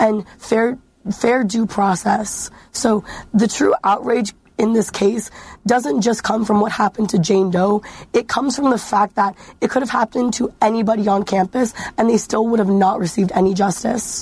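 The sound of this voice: A woman speaks with few pauses and fairly even intonation, her tone slightly mellow with a slightly husky edge. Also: medium pitch for a woman, moderate pace.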